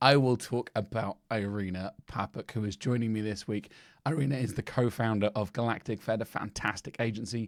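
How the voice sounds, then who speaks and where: A man with a British accent speaks at a fairly quick pace with fairly even intonation, recorded very cleanly over a silent background. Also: medium pitch for a man, dry, close sound with no echo. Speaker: podcast host. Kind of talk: podcast interview intro. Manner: casual, chatty.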